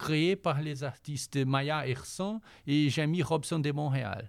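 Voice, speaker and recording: This man speaks with a Portuguese accent at a fairly high pitch, his pitch varying in an ordinary way. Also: very clean recording, silent background. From Brazil. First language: Portuguese (speaking French). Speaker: volunteer culture columnist. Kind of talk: cultural recommendations segment.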